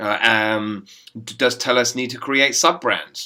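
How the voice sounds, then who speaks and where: A man's fairly low-pitched voice in an English accent, with ordinary pitch variation. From England. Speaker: business school professor. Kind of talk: recorded lecture voiceover. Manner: hesitant, many fillers.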